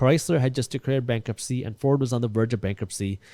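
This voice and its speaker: Speaking with a non-native accent, a man uses a medium-pitched voice with a dark, mellow tone and lively intonation, recorded dry and close with no echo on a very clean track with a silent background. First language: not English. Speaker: real estate investor and finance content creator. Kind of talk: interview talk about personal finance.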